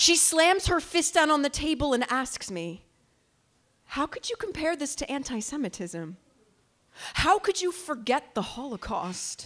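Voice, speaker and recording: The pace is fairly slow. Pitch swings very widely throughout. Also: woman, high pitch for a woman. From United States. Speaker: slam poet. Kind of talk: spoken word poetry performance. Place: stage. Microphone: handheld.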